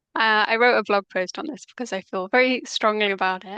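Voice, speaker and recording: Speaking fairly quickly with a Mancunian accent, a woman uses a medium pitch with ordinary variation and a bright, sharp tone, recorded with a dry, close sound with no echo against a quiet background. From northern England, Manchester. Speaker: language coach. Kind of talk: casual chat.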